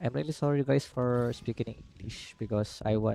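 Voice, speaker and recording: A man with a Filipino accent speaks in a dark, mellow tone. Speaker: gaming streamer. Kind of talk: live stream chat. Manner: hesitant, with fillers.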